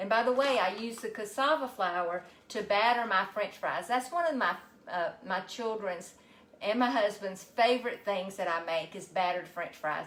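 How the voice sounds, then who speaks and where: A woman with a Southern US accent speaks at a moderate pace, her medium pitch carried by lively intonation. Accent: Southern US (Georgia). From US South, Georgia. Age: 60s. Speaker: health coach and physical therapist. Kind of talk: casual live cooking stream.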